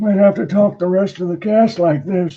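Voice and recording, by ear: The speaker uses a put-on character voice. The delivery keeps a moderate pace. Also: man.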